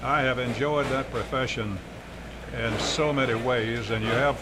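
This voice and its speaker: A man with an American accent speaks at a medium pitch and moderate pace. His intonation is fairly even, with noticeable background noise. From Mississippi. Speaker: broadcaster. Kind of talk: interview answer.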